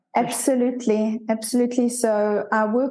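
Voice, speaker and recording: This woman speaks with a South African accent at a fairly high pitch. Her tone is dark and mellow, and her intonation is monotone and flat. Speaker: leadership coach. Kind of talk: interview conversation.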